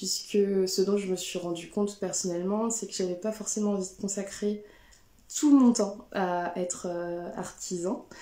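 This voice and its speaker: A woman of medium pitch speaks at a fairly slow pace with fairly even intonation, with audible room echo around her. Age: 30s. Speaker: textile craft maker. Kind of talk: live stream talk. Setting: Instagram/Facebook live. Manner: hesitant, many fillers.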